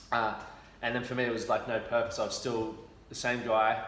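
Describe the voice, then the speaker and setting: A man talks with an Australian accent at a medium pitch. Noticeable background noise and audible room echo surround him. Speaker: former athlete, fitness and mental health mentor. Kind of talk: interview, personal story. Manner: casual, conversational.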